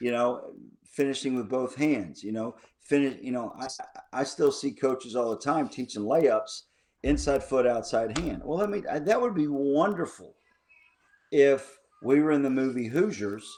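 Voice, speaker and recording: Here is a man with a plain, everyday voice. His pitch is fairly high with ordinary variation, and his pace is moderate. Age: 50s. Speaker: basketball coach. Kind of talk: podcast interview.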